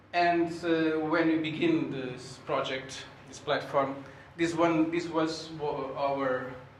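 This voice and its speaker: Against noticeable background noise and audible room echo, a man speaks at a very slow pace and fairly high pitch, with monotone, flat intonation and big swings in loudness. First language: Portuguese. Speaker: sociology researcher giving a seminar talk. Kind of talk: lecture. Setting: seminar room with audience. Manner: halting, many fillers.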